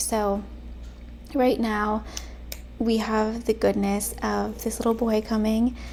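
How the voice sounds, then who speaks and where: This woman is soft-spoken. Her pace is fairly slow. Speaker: lifestyle vlogger. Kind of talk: soft-spoken casual talk to camera.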